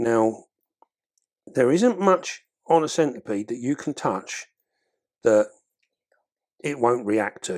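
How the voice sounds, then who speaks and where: Very slowly and with long, frequent pauses, a man speaks with lively intonation in an English accent on a very clean recording with a silent background. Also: medium pitch for a man. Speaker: exotic pet keeper and video creator. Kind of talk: tutorial. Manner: heavy breathing.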